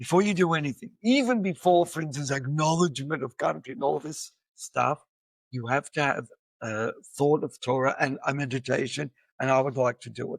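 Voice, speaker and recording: A man with an Australian accent, fairly high-pitched, fairly quick, with ordinary pitch variation and a dry, close sound with no echo. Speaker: educator and musician. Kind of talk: podcast interview.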